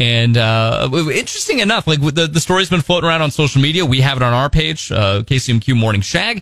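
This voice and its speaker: Lively intonation runs through this man's speech. He has a plain, everyday voice and a moderate pace. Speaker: radio host. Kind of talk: casual radio banter. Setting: studio.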